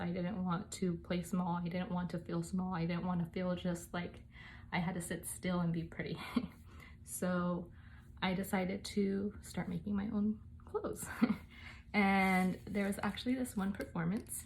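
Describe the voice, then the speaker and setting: Somewhat breathy, a woman speaks at medium pitch in a monotone, flat intonation with very even loudness. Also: moderate pace. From United States, Mexican-American family. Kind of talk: casual talk to camera.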